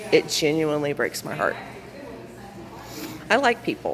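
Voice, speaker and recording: A woman with a Southern US accent, over noticeable background noise. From US South. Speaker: vlogger. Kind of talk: personal vlog monologue. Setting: waiting room at city hall.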